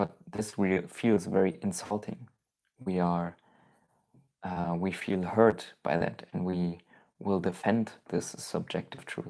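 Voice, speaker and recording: In a German accent, the speaker talks at a very slow pace on a very clean recording with a silent background. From Germany. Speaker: spiritual YouTuber. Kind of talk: live stream Q&A. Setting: live stream.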